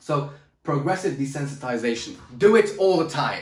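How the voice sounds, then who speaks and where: A man is speaking, and audible room echo surrounds his voice. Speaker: public speaking coach. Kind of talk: motivational talk to camera. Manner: loud, shouting; high energy, animated.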